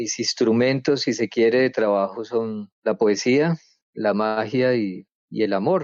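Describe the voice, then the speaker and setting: Speaking at a very slow pace, a man uses a medium pitch and ordinary pitch variation. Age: 60s. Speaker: writer and researcher. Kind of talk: interview. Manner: halting, many repetitions and fillers.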